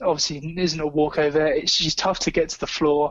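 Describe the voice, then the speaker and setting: Here is a man with a southern English accent. His pitch is fairly high and his intonation fairly even. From England, Somerset (Taunton). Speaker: MMA writer and betting analyst. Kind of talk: casual chat.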